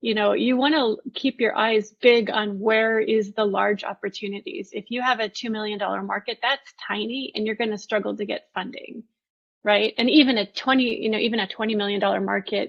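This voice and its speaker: A woman with a plain, everyday voice talks at a fairly quick pace, her fairly high pitch carried by fairly even intonation. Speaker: product management presenter. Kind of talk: online conference presentation. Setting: virtual event livestream.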